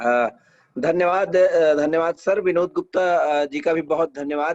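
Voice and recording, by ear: A man speaks in a dry, close sound with no echo.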